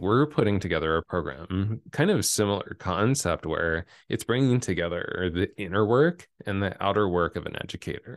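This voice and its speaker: A man speaks with a very deep, low pitch at a moderate pace. His pitch variation is ordinary, and the background is quiet. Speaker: breathwork and speaking coach, former hairdresser. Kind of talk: interview conversation. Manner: sometimes drops low into vocal fry.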